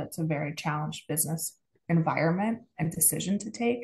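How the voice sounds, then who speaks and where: With an American accent, a woman talks in a somewhat breathy voice with ordinary pitch variation. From United States. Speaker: advertising partnerships executive. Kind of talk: podcast interview.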